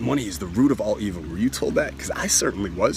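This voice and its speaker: Man with an animated tone and a fairly quick pace, over noticeable background noise. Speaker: self-help money coach. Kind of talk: sales pitch. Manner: fast.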